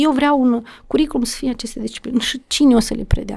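Her voice high, a woman talks at a fairly quick pace with fairly even intonation. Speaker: education official. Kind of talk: podcast interview.

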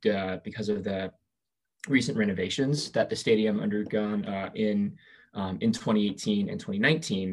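Against a very clean recording with a silent background, a man speaks in an ordinary speaking voice, fairly low in pitch, with fairly even intonation and a fairly slow pace. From US Pacific Northwest (Southwest Washington). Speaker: soccer writer. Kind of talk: casual chat.

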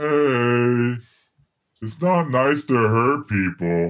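A put-on character voice at low-to-middle pitch and a very slow pace

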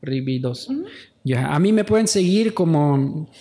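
Man with a western Bolivian accent, fairly high in pitch, speaking at a fairly slow pace with lively intonation. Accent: noticeably western Bolivian (La Paz). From Bolivian highlands (La Paz). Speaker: podcast host. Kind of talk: casual chat. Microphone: saturated, poor audio.

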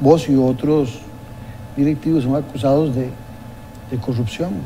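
A man at a medium pitch and fairly slow pace, with audible room echo and noticeable background noise. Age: 60s. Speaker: political TV host. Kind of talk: interview.

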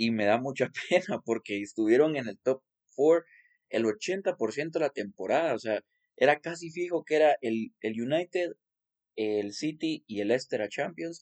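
Lively intonation in a man's fairly high voice. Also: fairly slow pace. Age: 20s. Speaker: football podcast co-host. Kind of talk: casual sports chat.

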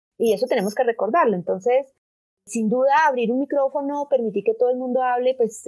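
Her intonation is lively. The woman's pitch is high. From Colombia, Bogotá. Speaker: digital rights organization director. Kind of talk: interview.

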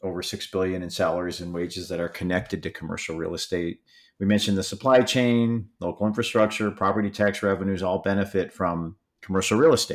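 A man with an American accent talks at a fairly quick pace in a very deep, low voice. The recording is very clean, with a silent background. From Michigan, US. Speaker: podcast host, trade association CEO. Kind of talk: interview.

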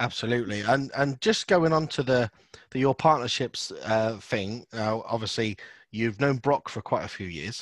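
A man with a British accent, medium pitch, ordinary pitch variation, a moderate pace and a dry, close sound with no echo. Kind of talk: casual interview chat.

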